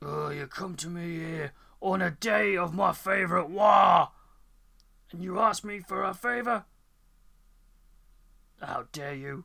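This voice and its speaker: The speaker uses a put-on character voice. Long, frequent pauses break up the delivery. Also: man, high pitch for a man, fairly slow pace. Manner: menacing, indignant.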